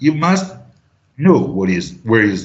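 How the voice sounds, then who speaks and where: Very wide pitch swings run through this man's voice. He also uses vocal fry. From Italy. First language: Italian. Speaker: trading teacher. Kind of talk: online class.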